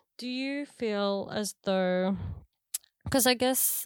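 A woman with an Australian accent on a very clean recording, silent background. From Australia (Canberra), Filipino parents. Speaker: podcast host. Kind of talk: casual chat.

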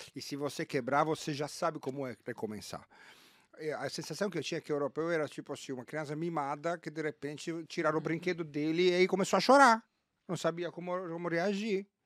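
A man with a plain, everyday voice speaks at a fairly high pitch and a fairly quick pace. The recording is very clean with a silent background, and the sound is dry and close with no echo. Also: ordinary pitch variation. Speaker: ad-tech sales executive. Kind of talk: casual interview chat.

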